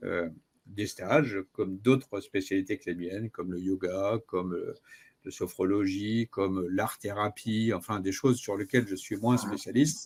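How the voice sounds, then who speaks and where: On a very clean recording with a silent background, a man talks at a fairly slow pace with a fairly low pitch and fairly even intonation. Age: 60s. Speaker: personal development coach. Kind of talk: interview. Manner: hesitant, many filler sounds.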